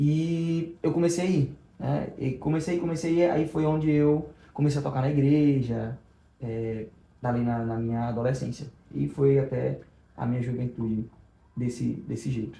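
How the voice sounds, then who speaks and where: Medium-pitched male voice, dark and mellow, somewhat breathy, at a moderate pace with ordinary pitch variation. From Brazil, Rio Grande do Norte (Macau). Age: 20s. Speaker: evangelist and youth leader. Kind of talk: testimony.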